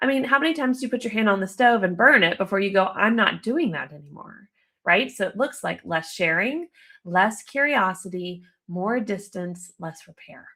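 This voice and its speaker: Delivered at a moderate pace in an American accent, the voice has a bright, sharp tone, lively intonation and big swings in loudness, on a very clean recording with a silent background. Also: woman, medium pitch for a woman. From United States. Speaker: relationship counselor. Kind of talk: live video talk. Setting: live video stream.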